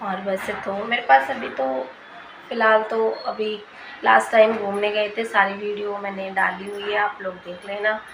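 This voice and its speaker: Quiet and at a fairly slow pace, a woman talks at a medium pitch with fairly even intonation and big swings in loudness, amid audible room echo and noticeable background noise. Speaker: vlogger. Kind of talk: casual vlog talk.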